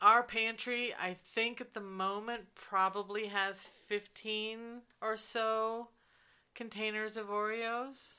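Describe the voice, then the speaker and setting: A woman's fairly high, bright, sharp voice in a monotone, flat intonation at a very slow pace, in a very clean recording with a silent background. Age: 50s. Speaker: podcast co-host. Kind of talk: casual chat.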